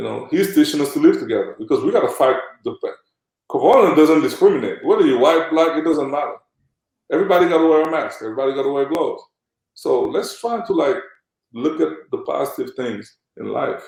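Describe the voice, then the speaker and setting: A man with a Senegalese accent speaks at a very fast pace. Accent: Senegalese accent, kept. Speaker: former pro basketball player and agent. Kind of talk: interview conversation. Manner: animated, uses many fillers.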